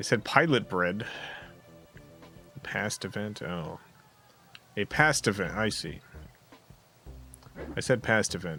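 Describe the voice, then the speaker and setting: A man with a New Jersey accent and a fairly low pitch, very slow pace with long, frequent pauses, lively intonation and big swings in loudness, music in the background. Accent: mild New Jersey accent on some words. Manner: casual, halting, with fillers.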